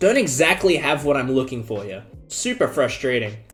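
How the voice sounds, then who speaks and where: Music plays in the background as the speaker talks at a moderate pace with lively intonation. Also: man. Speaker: chess content creator. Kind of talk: live gameplay commentary.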